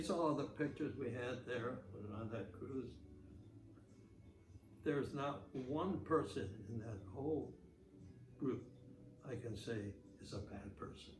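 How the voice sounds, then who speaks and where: A man at medium pitch, speaking at a very slow pace with long, frequent pauses over noticeable background noise. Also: ordinary pitch variation. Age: 80s+. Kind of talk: interview answer.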